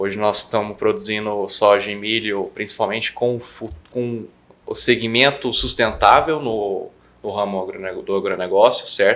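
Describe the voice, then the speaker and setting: Big swings in loudness from a man talking at a fairly slow pace. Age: 20s. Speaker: agronomy student and farmer's son. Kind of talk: interview.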